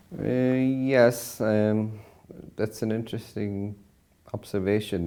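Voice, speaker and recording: Speaking with a western Irish accent, a man uses ordinary pitch variation. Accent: Irish (west of Ireland). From Ireland, Connemara, County Galway. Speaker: professor. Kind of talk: interview.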